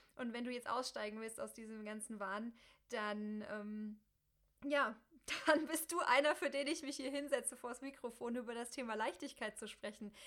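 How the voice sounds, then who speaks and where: A woman speaks with a high pitch at a moderate pace, her pitch varying an ordinary amount. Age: 30s. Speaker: podcast host and coach. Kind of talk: solo podcast monologue.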